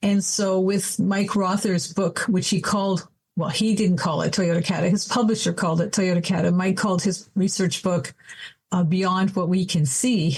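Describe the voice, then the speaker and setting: Somewhat breathy, a woman speaks with a Canadian accent. Her pitch variation is ordinary. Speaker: adult educator and coach. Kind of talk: podcast interview.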